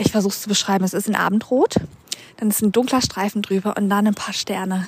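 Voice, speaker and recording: Her delivery is fairly quick and monotone, with flat intonation. This woman speaks at a medium pitch. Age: 30s. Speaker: podcast host. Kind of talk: casual monologue. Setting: outdoors, walking. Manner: rambling with fillers.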